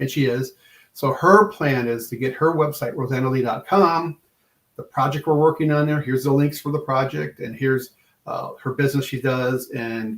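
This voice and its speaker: This man's voice is somewhat breathy, with a medium pitch. He talks at a moderate pace with ordinary pitch variation. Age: 60s. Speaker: podcast guest, evangelist and farmer. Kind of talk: casual chat. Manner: animated.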